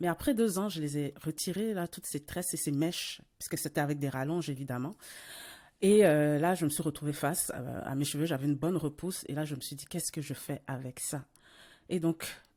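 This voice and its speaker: A woman's very deep, low voice, dark and mellow, at a fairly quick pace, with ordinary pitch variation, big swings in loudness, and a very clean recording over a silent background. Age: 40s. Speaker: podcast host. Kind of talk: casual interview conversation. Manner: hesitant, many fillers and repetitions.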